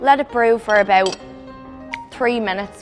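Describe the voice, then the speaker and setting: Someone talks with an Irish accent while music plays in the background. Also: woman. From Ireland. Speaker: actress. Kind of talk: casual humorous how-to demonstration.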